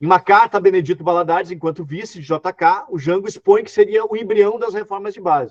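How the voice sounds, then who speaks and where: A man speaks at a very fast pace with hardly any pauses and big swings in loudness. His pitch is high with ordinary variation, and the sound is dry and close with no echo. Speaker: historian lecturer. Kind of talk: online lecture.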